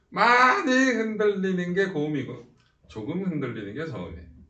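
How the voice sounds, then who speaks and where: A man speaks at a high pitch and moderate pace in an animated tone. Room echo is audible. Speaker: science teacher. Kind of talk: lecture.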